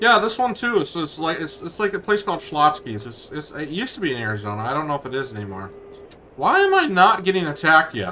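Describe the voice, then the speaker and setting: Loud, fairly quick speech from a man with very wide pitch swings over noticeable background noise. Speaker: gaming streamer. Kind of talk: casual chat. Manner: halting. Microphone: headset tracker mic, sounds poor.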